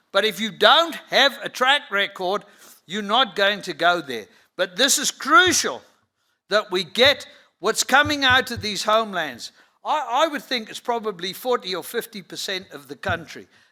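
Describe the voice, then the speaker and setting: A man with a high-pitched, bright and sharp voice projects loudly with lively intonation and big swings in loudness, on a very clean recording with a silent background. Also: moderate pace. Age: 70s. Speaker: conference speaker, livestock industry figure. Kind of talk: conference talk. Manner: emphatic.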